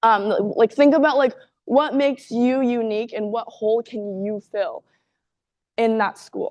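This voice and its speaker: At a fairly slow pace, a woman talks in a fairly high pitch with fairly even intonation. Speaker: university student speaker. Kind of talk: seminar presentation. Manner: loud.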